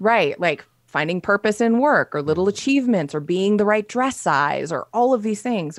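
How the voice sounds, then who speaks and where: In a normal speaking voice, a woman talks at medium pitch with lively intonation and a moderate pace. The recording is very clean, with a silent background. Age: 30s. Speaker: health coach and entrepreneur. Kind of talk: casual chat.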